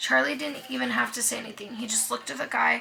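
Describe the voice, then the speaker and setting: The speaker is a woman. Background noise is noticeable. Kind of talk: reading aloud. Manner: halting.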